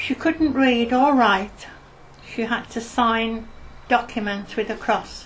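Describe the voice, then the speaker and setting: Speaking with a Birmingham accent, a woman talks at a very slow pace and a fairly high pitch. Her intonation is fairly even, and background noise is noticeable. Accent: Birmingham (Brummie). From Birmingham, England (Hockley). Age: 70s. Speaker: oral history interviewee. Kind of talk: oral history interview.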